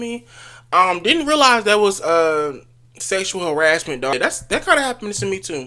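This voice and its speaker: A man's raised, projected voice, high in pitch, with a bright, sharp tone and very wide pitch swings. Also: moderate pace. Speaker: YouTuber. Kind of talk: casual vlog.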